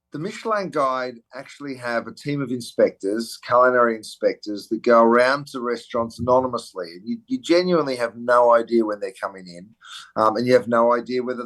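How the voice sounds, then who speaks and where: A man with an Australian accent at a fairly quick pace, medium pitch with ordinary pitch variation, big swings in loudness, and a quiet background. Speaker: celebrity chef. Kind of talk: interview answer.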